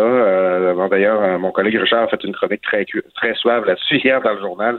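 Noticeable background noise sits under a man talking at a very fast pace. His pitch is fairly low, with ordinary variation. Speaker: political columnist. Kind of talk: political commentary.

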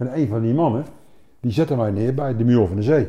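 A man speaks very fast at medium pitch with ordinary pitch variation, his tone dark and mellow and somewhat breathy. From Netherlands, Overijssel. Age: 60s. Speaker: retired army officer. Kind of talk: interview.

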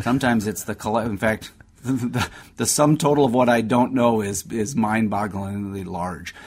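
A man has a plain, everyday voice with a medium pitch. He talks at a moderate pace with ordinary pitch variation. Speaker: doctor answering listener health questions. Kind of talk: radio call-in health advice. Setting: radio studio.

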